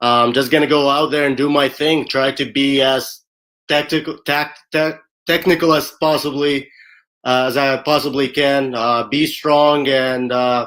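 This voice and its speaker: A man speaks at a fairly slow pace in a fairly high pitch. His intonation is monotone and flat, and his loudness stays very even. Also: very clean recording, silent background. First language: not English. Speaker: MMA fighter. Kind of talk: interview. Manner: confident, trash talk.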